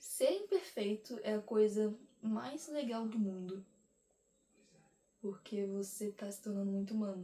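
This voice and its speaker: This woman has a fairly high pitch and a dark, mellow, somewhat breathy tone. She talks at a fairly slow pace with ordinary pitch variation and long, frequent pauses. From Brazil. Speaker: vlogger. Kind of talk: casual monologue to camera.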